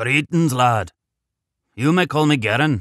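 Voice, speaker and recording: Putting on a growling character voice in an Irish accent, a man speaks at a medium pitch and moderate pace with lively intonation. The recording is very clean with a silent background, and the sound is dry and close with no echo. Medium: read story. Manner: warm, fatherly.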